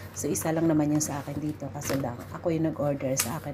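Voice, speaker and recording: The room echo is audible and there is noticeable background noise. A woman talks with a very deep, low pitch and fairly even intonation. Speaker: vlogger. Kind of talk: casual unboxing vlog. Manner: halting, many fillers.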